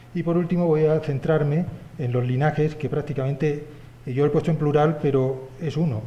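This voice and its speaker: A man at a fairly quick pace with fairly even intonation and audible room echo. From Spain. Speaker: historian. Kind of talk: conference talk. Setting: symposium with audience. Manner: hesitant, many fillers.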